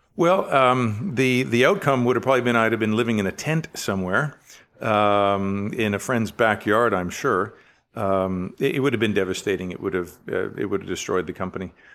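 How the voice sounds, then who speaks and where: Fairly low-pitched man with a Western Canadian accent. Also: ordinary pitch variation, moderate pace, very clean recording, silent background. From Canada, Richmond, British Columbia. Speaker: business executive. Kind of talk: interview.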